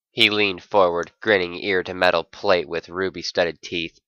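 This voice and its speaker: A man puts on a character voice that is gruff and very deep, low in pitch. His intonation is monotone and flat, at a moderate pace. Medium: read story.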